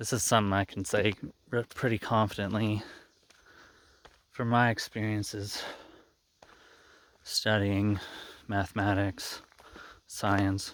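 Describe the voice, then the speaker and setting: With long, frequent pauses, a man speaks at a fairly slow pace in a monotone, flat intonation. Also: fairly low pitch for a man. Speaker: channel host, math graduate. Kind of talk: casual monologue. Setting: outdoors, walking in the woods. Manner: hesitant, many fillers.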